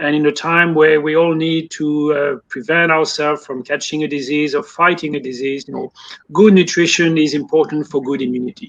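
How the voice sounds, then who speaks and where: A man with a French accent, fairly high pitch, fairly even intonation and a fairly quick pace. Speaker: poultry industry consultant. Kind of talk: interview. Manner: some fillers, mostly fluent.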